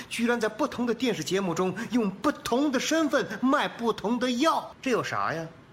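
At an extremely high pitch, a man talks at a moderate pace with lively intonation over noticeable background noise. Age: young. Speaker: comedy short-video creator and voice performer. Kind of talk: casual interview chat.

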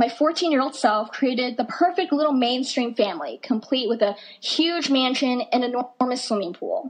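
A woman with an American accent speaks in a high voice with lively intonation and hardly any pauses. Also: moderate pace. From US (Idaho, Dakotas), Chinese-born. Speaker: student speaker. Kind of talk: talk to an audience.

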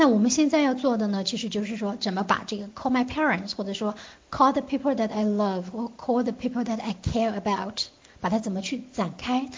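An unremarkable speaking voice belongs to a woman with a fairly high pitch and ordinary pitch variation. She talks at a fairly quick pace. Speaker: English test prep teacher. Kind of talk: online lecture. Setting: online class.

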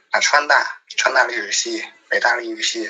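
Over noticeable background noise, the speaker talks with a strong Beijing accent. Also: man. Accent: strong Beijing accent, heavy erhua. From Sichuan, Chengdu. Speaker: guest. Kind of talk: casual chat.

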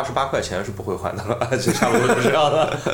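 A man talks very fast amid noticeable background noise, his voice carrying audible room echo. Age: middle-aged. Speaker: film podcast co-host. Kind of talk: casual chat.

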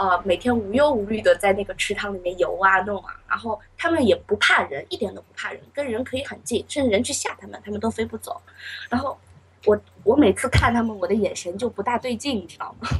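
A woman with a plain, everyday voice talks at a fairly quick pace and a fairly high pitch. Her intonation is lively, and her loudness swings widely. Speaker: university student. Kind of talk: casual chat.

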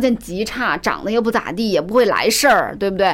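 A woman speaks loudly with a fairly high pitch. She keeps a moderate pace. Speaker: business commentator guest. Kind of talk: casual chat.

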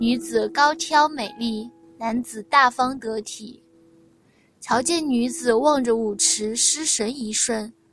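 A woman speaks very slowly in a high voice, with ordinary pitch variation, big swings in loudness and music playing in the background. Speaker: audiobook narrator. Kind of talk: reading aloud.

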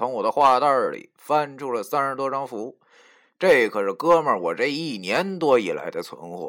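The text is read aloud in a natural voice, the intonation lively throughout.

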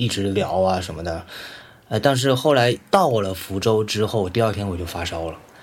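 A man's fairly low-pitched voice amid noticeable background noise. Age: 40s. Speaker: electronic musician. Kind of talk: casual chat.

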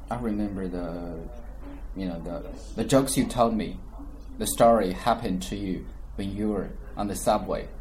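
The man talks at a moderate pace with long, frequent pauses. Audible room echo is present. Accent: Chinese. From China. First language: Mandarin Chinese. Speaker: English-learning podcast host. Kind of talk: casual chat.

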